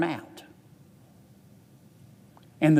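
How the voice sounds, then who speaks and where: A man speaks with a Southern US accent. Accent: Southern US drawl. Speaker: politician. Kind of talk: legislative floor speech. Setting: legislative chamber. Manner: folksy, witty.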